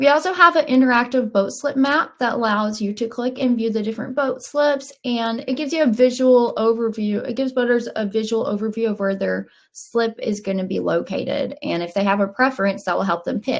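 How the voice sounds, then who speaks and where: With a Southern US accent, a woman talks at a fairly quick pace and fairly high pitch with hardly any pauses. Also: ordinary pitch variation. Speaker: software company webinar presenter. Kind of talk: webinar presentation. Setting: online webinar.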